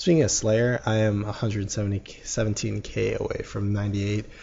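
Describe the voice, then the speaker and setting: A man speaks in a fairly low, somewhat breathy voice with monotone, flat intonation. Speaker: gaming YouTuber. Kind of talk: gaming commentary. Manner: stuttering; casual, halting with fillers.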